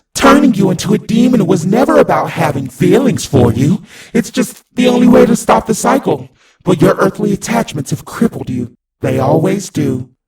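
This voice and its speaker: This man uses a put-on character voice, pitched high for a man, and talks at a moderate pace. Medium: read story. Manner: cool, patronizing.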